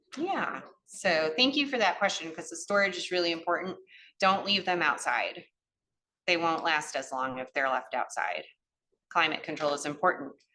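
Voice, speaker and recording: In a strong Cleveland accent, a woman speaks at a moderate pace with a bright, sharp tone. Her pitch is fairly low and her intonation lively. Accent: northern US, Cleveland accent, still strong. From US Midwest, Cleveland. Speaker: gardening educator. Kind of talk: lecture.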